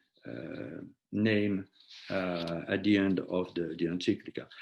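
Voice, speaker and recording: A man with a French accent. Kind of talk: lecture. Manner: halting, many repetitions and fillers.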